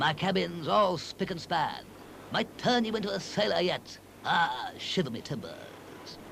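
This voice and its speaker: A man in a put-on character voice, gruff and bellowing, with a high pitch, lively intonation and a moderate pace, over clear background noise. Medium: cartoon. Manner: gruff, roaring, salty sea talk.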